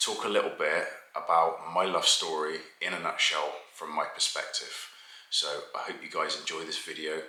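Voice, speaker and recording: The voice carries an audible room echo along with noticeable background noise. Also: man. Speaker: family vlogger. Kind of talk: casual talk to camera. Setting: at home, family asleep.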